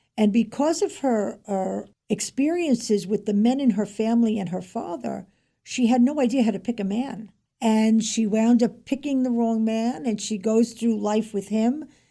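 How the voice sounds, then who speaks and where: Recorded very cleanly with a silent background, a woman speaks at a moderate pace in a somewhat breathy, fairly high voice that has a dark, mellow tone and ordinary pitch variation. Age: 70s. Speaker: author. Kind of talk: interview.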